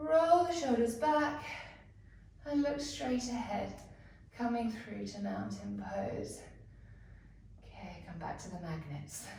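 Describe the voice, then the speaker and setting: Very slow delivery with long, frequent pauses and big swings in loudness, amid noticeable background noise and audible room echo. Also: woman. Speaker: yoga instructor. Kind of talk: guided yoga class. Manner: whispering; slow, calm.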